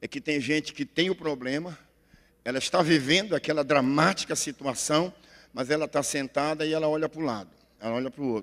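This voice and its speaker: A man speaks at a moderate pace with a fairly high pitch and ordinary pitch variation. The recording is very clean and dry, close with no echo, over a silent background. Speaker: pastor. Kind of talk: sermon. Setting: church. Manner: loud.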